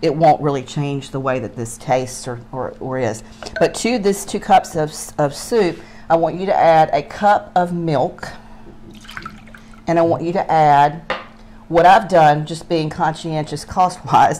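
A woman speaks at a fairly slow pace with a very deep, low pitch. Long, frequent pauses sit over light background noise. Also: ordinary pitch variation. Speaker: cooking show host. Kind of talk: cooking tutorial. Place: kitchen.

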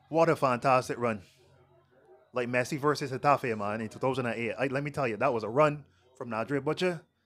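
Moving at a fairly quick pace, a man holds a medium pitch with ordinary pitch variation. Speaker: co-commentator, football analyst. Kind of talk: live sports commentary, analysis. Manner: relaxed, conversational, hesitant with fillers.

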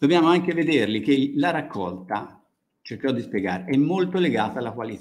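Talking at a fairly quick pace, a man with a fairly high pitch and vocal fry swings his pitch very widely. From Tuscany, Italy. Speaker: university agronomy researcher; conference presenter. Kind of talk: lecture. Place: hall. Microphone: podium.

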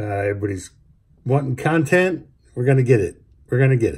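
A man's somewhat breathy voice, dark and mellow in tone, with very wide pitch swings. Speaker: vlogger. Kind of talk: casual vlog chat. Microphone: phone near.

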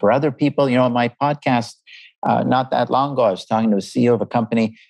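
A man with a Canadian accent talks at a very fast pace and a medium pitch. The background is quiet, and the sound is dry and close with no echo. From Canada, Montreal. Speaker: business professor. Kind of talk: interview.

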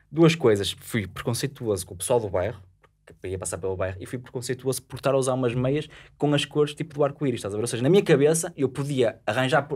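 Intonation from the male speaker is lively. He goes at a very fast tempo. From Gondomar, northern Portugal; Portugal. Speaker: podcast guest. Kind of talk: casual chat. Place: studio. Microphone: studio mic.

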